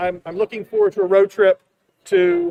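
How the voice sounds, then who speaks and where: This man speaks at a fairly quick pace. His pitch is high, with ordinary pitch variation. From US South. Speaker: conference show host. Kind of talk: live stream chat. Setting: exhibit hall at a convention center. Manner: animated.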